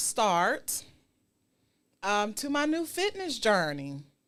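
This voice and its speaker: A woman speaks with music in the background. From Georgia, US South (Savannah). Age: 40s. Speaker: radio host. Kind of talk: casual chat.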